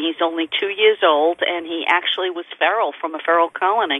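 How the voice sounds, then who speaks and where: A woman speaks in a plain, everyday voice. Her pitch is fairly low and her intonation fairly even. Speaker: fundraiser organizer. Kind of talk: interview.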